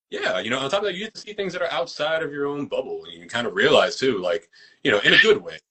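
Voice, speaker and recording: A man with an American accent at a very fast pace, his loudness swinging widely. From New York. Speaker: actor and fight choreographer. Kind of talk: casual interview chat. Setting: social media live video.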